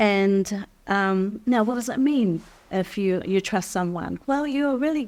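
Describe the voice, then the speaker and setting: In a very clean recording with a silent background, a woman uses an ordinary speaking voice with ordinary pitch variation. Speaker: life skills teacher. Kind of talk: workshop teaching talk.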